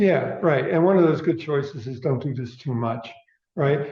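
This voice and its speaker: The man's pitch is fairly high, somewhat breathy, with ordinary pitch variation. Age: 70s. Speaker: speaker giving a talk. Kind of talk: audience Q&A discussion.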